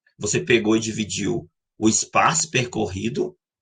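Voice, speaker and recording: A man is speaking. Music plays in the background. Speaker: math teacher. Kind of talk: lecture. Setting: live online class. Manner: fast.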